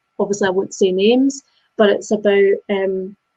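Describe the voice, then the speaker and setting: A woman with a Scottish accent speaks in a dark, mellow tone. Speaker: business coach. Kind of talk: casual discussion. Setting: live video chat.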